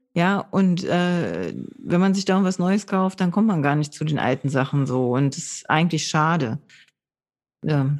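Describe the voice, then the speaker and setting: Against a quiet background, a woman with an ordinary speaking voice talks at a fairly slow pace, her pitch fairly low with ordinary variation. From northern Germany (Low German area). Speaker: board game podcast host. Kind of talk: casual chat. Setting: recording from home.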